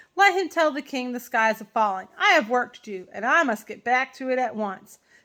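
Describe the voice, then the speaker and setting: Putting on a character voice, a woman speaks high-pitched and raised, projected at a moderate pace. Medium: read story.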